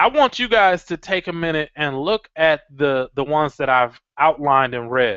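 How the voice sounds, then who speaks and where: A man talks at a fairly slow pace with lively intonation. His tone is bright and sharp, and the sound is dry and close with no echo. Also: quiet background. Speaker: webinar presenter. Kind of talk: webinar tutorial. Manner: hesitant, many fillers.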